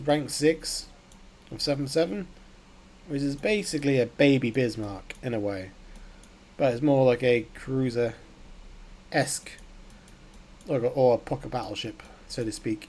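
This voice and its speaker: At a fairly slow pace, a man speaks with a medium pitch and ordinary pitch variation. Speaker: gaming YouTuber. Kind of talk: gameplay commentary. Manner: casual, excitable.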